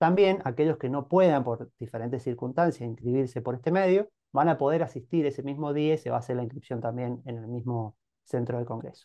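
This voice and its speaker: Fairly quick pace from a man, with ordinary pitch variation. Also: quiet background. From Argentina, Mendoza (Monte Comán, San Rafael); Mendoza, Argentina. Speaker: chemical engineer, cooperative member. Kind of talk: interview. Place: home room. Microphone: video call.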